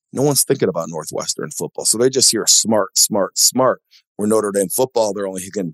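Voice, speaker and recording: Speaking at a fairly quick pace, this man has a plain, everyday voice pitched fairly low, recorded with a dry, close sound and no echo. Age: 40s. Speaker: venture capitalist and former college football player. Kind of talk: casual interview chat.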